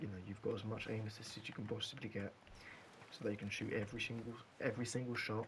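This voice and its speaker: At a very fast pace, a man talks at medium pitch. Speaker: gaming content creator. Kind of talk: gameplay tutorial. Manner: halting, some stutters; animated.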